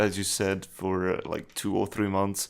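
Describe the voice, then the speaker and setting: With an Italian accent, a man speaks at a fairly low pitch in a monotone, flat intonation. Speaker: podcast co-host. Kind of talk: casual chat. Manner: halting.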